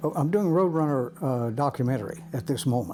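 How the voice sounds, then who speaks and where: With music in the background, a man speaks at a moderate pace in a fairly high pitch. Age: 90s. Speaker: war veteran. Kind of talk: interview. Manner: halting.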